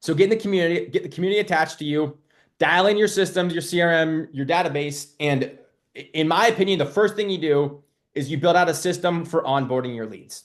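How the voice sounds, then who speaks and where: Against a quiet background, a man speaks loudly and very fast in a high voice with ordinary pitch variation. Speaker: marketing coach for loan officers and realtors. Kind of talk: live webinar. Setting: live webinar. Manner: animated.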